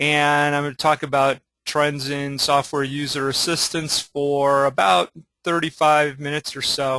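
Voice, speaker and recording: Here is a plain, everyday voice. A man with a fairly high pitch and fairly even intonation speaks at a fairly slow pace. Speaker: webinar presenter on software documentation. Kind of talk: webinar presentation. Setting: online webinar.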